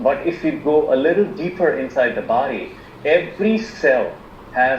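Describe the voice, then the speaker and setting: A man's rather slow speech comes through over clearly audible background noise. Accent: Indian. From India. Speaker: alternative medicine practitioner. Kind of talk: online presentation. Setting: video call. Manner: halting, many fillers.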